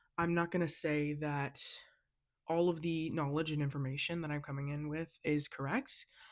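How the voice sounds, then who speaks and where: In an American accent, a woman speaks at a fairly quick pace with a very deep, low pitch. Her intonation is fairly even, and the recording is very clean with a silent background. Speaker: student podcast host. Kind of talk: solo podcast monologue. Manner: casual, many filler words.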